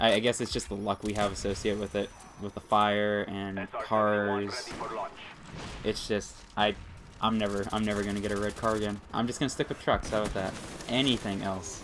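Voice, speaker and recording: With an American accent, a man talks at a fairly quick pace in a fairly low pitch. His intonation is monotone and flat, and there is noticeable background noise. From Pennsylvania. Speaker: gaming commentator. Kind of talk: gameplay commentary. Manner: fast.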